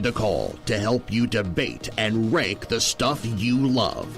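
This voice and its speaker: Very slow speech with music in the background. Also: man. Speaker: voice actor. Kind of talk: movie trailer.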